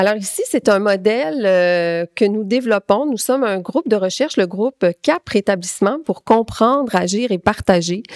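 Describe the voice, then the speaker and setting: This woman speaks fairly slowly with a Quebec accent, at a fairly high pitch with ordinary pitch variation. The sound is dry and close, with no echo. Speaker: clinical pharmacist and researcher. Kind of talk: conference talk. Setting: conference with audience. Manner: hesitant, many fillers.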